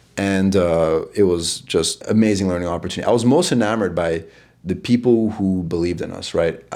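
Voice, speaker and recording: A man with an American accent speaks at a fairly quick pace, his very deep, low pitch carrying a dark, mellow tone. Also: ordinary pitch variation. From New York City. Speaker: startup founder. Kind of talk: interview. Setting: in person in New York City. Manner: halting with repeated words.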